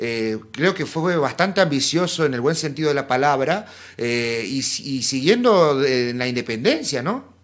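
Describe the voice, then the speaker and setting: Lively intonation marks a man's unremarkable speaking voice, fairly high in pitch. He talks at a fairly slow pace. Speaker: podcast host. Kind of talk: casual interview.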